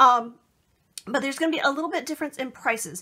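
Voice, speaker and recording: A raised, projected voice with a bright, sharp tone rings out over a quiet background. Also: woman. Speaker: crafting tutorial host. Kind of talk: tutorial. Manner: fast; casual with many fillers. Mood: friendly, enthusiastic.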